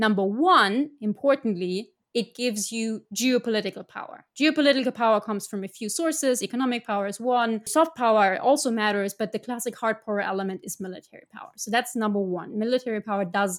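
In a German accent, a woman speaks at a fairly high pitch and a fairly quick pace, with ordinary pitch variation and big swings in loudness, on a very clean recording with a silent background. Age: 30s. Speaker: foreign policy analyst. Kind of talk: interview.

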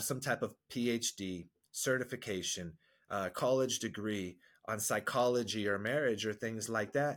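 A man speaks at a fairly slow pace in an ordinary speaking voice, medium in pitch with ordinary pitch variation, on a very clean recording with a silent background. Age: 40s. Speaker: marriage and men's coach. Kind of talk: podcast interview. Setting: studio.

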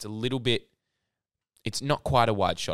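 The speaker has an Australian accent. The pace is fairly quick and the intonation fairly even. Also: man. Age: young. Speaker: podcast co-host. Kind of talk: casual chat.

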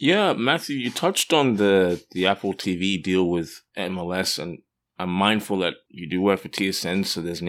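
A man with an Australian accent speaks at a moderate pace and a very deep, low pitch. The recording is very clean, with a silent background. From Australia (Perth). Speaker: sports podcast co-host. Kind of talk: casual chat.

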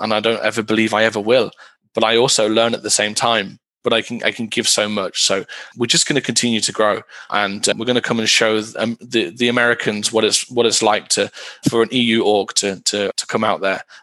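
A man with a British accent talks fairly quickly at a medium pitch, his tone bright and sharp and his intonation monotone and flat. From UK. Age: 30s. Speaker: esports team director. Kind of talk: interview.

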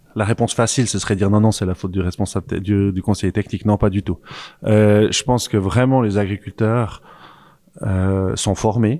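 A man's fairly low, normal speaking voice at a moderate pace with fairly even intonation, recorded very cleanly with a silent background and a dry, close sound with no echo. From French-speaking Switzerland. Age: 40s. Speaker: farmer and agronomist. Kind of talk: casual discussion.

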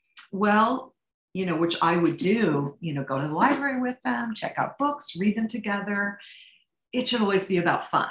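A woman speaks with a Midwestern American accent. Her pitch sits in the middle range, and her intonation is lively. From St. Louis, Missouri. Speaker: literature teacher and author. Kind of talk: interview conversation.

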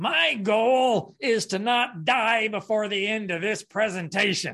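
Someone does a put-on character voice at a fairly slow pace. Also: man, high pitch for a man. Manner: heckling, joking.

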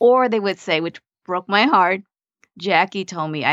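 A woman with a Vietnamese accent at a moderate pace. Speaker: mindset coach and nurse practitioner. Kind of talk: interview conversation.

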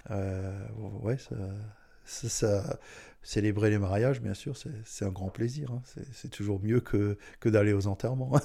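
The voice is dark, mellow and somewhat breathy, moving very slowly with long, frequent pauses and fairly even intonation on a very clean recording with a silent background. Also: man, fairly low pitch for a man. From Alsace, France (Strasbourg). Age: 60s. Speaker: mayor. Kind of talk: interview.

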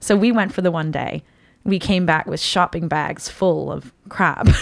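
Her voice fairly low with vocal fry, a woman talks at a moderate pace with ordinary pitch variation. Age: 30s. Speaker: cosplayer. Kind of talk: casual chat.

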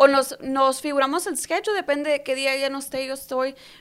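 A woman with a high pitch is heard in a very clean recording with a silent background. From Mexicali border area, Mexico. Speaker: beautician. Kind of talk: casual interview.

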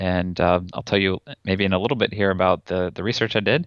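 A man with an American accent, fairly low pitch and fairly even intonation, at a very fast pace, in a dry, close sound with no echo against a quiet background. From North Carolina, Raleigh. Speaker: chemical engineering professor. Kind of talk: interview.

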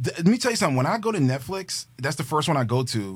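Very fast and somewhat breathy, a man talks with lively intonation in a very clean recording with a silent background. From New York City, Queens. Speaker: movie podcast co-host. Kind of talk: casual chat. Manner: animated.

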